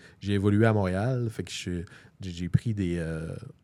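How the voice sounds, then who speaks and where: This man has a dark, mellow tone and a fairly low pitch. He talks at a fairly slow pace with ordinary pitch variation. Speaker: stand-up comedian. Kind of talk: casual chat.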